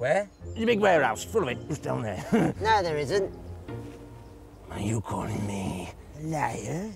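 Doing a put-on character voice, a man with a fairly high pitch speaks at a moderate pace with very wide pitch swings and long, frequent pauses while clear music plays in the background. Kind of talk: sat-nav announcement. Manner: cheeky, bossy, insulting.

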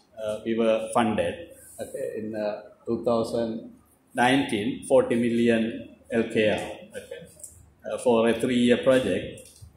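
A man speaks at a very slow pace, with audible room echo. Light background noise sits underneath. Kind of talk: ceremony speech. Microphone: podium.

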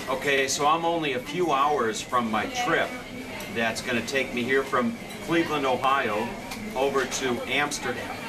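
A man keeps a moderate pace while noticeable background noise plays underneath. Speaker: traveler vlogger. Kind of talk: casual talk to camera. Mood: cheerful, joking. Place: station. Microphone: phone near.

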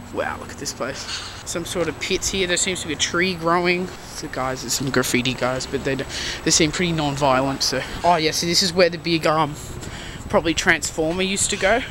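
Noticeable background noise surrounds a man with a high pitch. He talks at a fairly quick pace, and the sound is dry with no echo. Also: ordinary pitch variation. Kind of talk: casual vlog commentary. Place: factory. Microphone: phone near.

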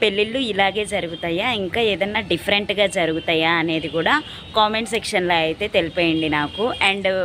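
A woman speaks at a medium pitch with ordinary pitch variation, over noticeable background noise. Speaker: vlogger. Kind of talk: casual vlog narration.

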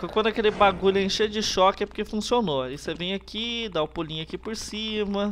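The speaker moves at a fairly quick pace with hardly any pauses and ordinary pitch variation. Noticeable background noise runs throughout. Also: man, high pitch for a man. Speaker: gaming youtuber. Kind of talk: let's play commentary. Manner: animated.

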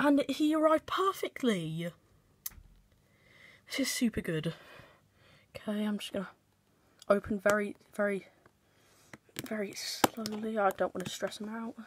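Soft-spoken and fairly high-pitched, a woman talks at a moderate pace with lively intonation, big swings in loudness and long, frequent pauses, in a dry sound with no echo over light background noise. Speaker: pet keeper vlogger. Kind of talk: casual chat. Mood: excited, gentle. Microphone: phone near.

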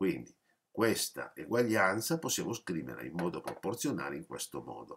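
A man with a very deep, low pitch and vocal fry speaks at a moderate pace, his pitch swinging very widely and his loudness in big swings. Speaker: math teacher. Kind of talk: lecture. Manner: explanatory, with frequent hesitations.

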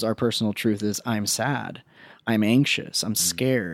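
The recording of this man is dry, with no echo, over a quiet background. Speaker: psychotherapist. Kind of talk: interview conversation. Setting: guest's home. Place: home room.

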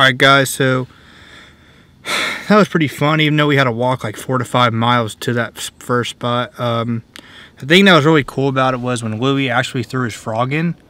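A man speaks at a moderate pace, his loudness swinging widely. The sound is dry with no echo, and his pitch varies in an ordinary way. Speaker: fishing vlogger. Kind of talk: casual vlog chat. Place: car. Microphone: phone near.

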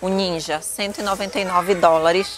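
A woman speaks with fairly even intonation in a dry sound with no echo, with faint music in the background. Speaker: vlogger. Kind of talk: casual vlog chat. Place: shop. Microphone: phone near.

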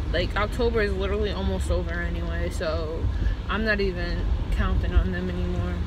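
A woman talks at a fairly quick pace over loud background noise. The sound is dry, with no echo. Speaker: vlogger. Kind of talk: casual vlog chat. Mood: chatty, mildly annoyed. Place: car. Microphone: phone near.

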